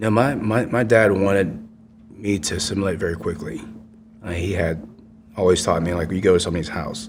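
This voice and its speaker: With lively intonation and a very deep, low pitch, a man speaks amid audible room echo and noticeable background noise. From Vietnam, raised in Houston, Texas from age five. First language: Vietnamese. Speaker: war veteran. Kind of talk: interview.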